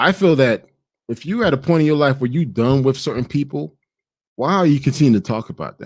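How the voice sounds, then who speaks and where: Delivery comes at a fairly quick pace in an animated tone with ordinary pitch variation. The recording is very clean, with a silent background. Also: man. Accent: Haitian. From Haiti. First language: Haitian Creole. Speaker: travel content creator. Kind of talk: podcast monologue. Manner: halting.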